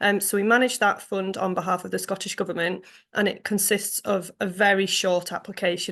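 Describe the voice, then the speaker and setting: In an English accent, a woman talks at a moderate pace with vocal fry. Her intonation is monotone and flat against a quiet background. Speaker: funding development officer. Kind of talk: online forum presentation. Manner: hesitant, many ums.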